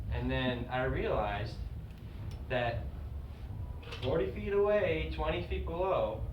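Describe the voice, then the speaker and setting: Noticeable background noise runs behind a man who talks fairly slowly. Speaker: comedian. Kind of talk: live stand-up monologue. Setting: live comedy stage.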